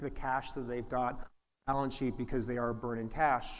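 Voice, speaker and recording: With a slight Canadian accent, a man speaks at a fairly quick pace with fairly even intonation in a room with audible echo. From Canada, Toronto. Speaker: venture capitalist, conference presenter. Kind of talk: conference presentation. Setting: stage with audience. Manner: frequent fillers and restarts.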